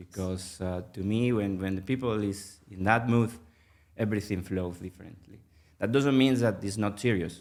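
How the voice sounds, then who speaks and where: Speaking with a Spanish accent, a man at a fairly low pitch keeps a moderate pace and fairly even intonation. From Venezuela. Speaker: mergers and acquisitions manager, public speaking club member. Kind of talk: podcast interview. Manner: hesitant, many fillers.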